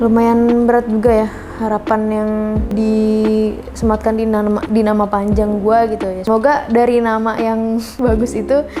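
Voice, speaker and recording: Music plays in the background as a woman talks with audible room echo. Her voice sits at a fairly high pitch. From Gunung Putri, Bogor, West Java, Indonesia. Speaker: singer and YouTuber. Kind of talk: casual vlog talk to camera. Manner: casual, chatty.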